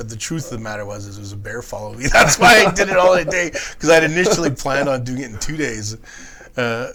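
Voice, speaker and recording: Talking at a very fast pace, a man uses lively intonation and big swings in loudness. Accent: Canadian. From Prince George, British Columbia. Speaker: long-distance hiker. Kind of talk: podcast interview answer.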